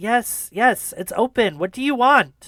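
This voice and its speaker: A put-on character voice at a fairly high pitch goes at a fairly slow pace. The recording is very clean, with a silent background. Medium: actual play. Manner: blunt, impatient.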